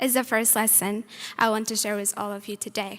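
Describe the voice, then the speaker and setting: Speaking with a non-native accent, a woman uses a fairly high pitch. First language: not English. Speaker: student speaker. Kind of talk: graduation speech. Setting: stage with audience. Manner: formal.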